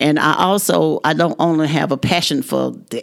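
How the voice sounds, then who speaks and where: This woman's voice has vocal fry. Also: very clean recording, silent background. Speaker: retired nursing assistant. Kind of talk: casual group conversation.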